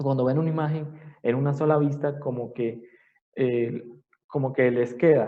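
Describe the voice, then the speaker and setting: Over audible room echo, a man with a medium-pitched voice speaks at a moderate pace with fairly even intonation and long, frequent pauses. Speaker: anatomy professor. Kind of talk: lecture.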